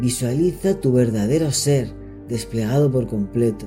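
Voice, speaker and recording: A calm, soothing tone at a fairly slow pace, with music in the background. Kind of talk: guided meditation narration. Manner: calm, slow, soothing.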